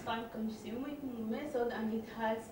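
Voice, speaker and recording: A woman talks in a room with audible echo, and noticeable background noise runs underneath. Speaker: presenter. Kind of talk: lecture. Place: hall.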